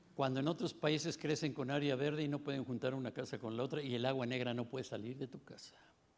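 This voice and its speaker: Barely pausing, a man speaks at a very fast pace and medium pitch. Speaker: conference panelist. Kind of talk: conference talk. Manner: animated.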